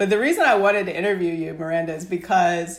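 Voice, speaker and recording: At a fairly quick pace, a woman speaks in a plain, everyday voice with medium pitch and ordinary pitch variation. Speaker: podcast host. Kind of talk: interview.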